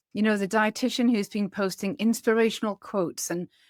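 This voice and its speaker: A woman speaks at a medium pitch in a Geordie accent. The recording is very clean and dry, close with no echo, over a silent background. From northeast England (Newcastle area). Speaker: podcast host, dietitian and business coach. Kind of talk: podcast monologue.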